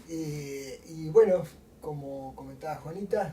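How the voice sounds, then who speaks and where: A man's voice over noticeable background noise. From Argentina. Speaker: motorcycle traveler. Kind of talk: interview.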